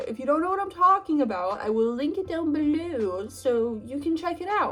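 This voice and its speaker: A woman speaks at a moderate pace with a high pitch and very wide pitch swings. Music plays in the background. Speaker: art tutorial youtuber. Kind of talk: tutorial.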